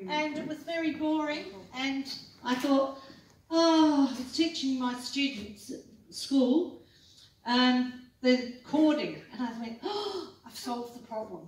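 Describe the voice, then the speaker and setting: A high-pitched woman with an Australian accent at a very slow pace, her pitch varying in an ordinary way and her loudness swinging widely, amid audible room echo. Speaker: quilter and quilting teacher. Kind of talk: talk to a club audience. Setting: meeting hall with audience.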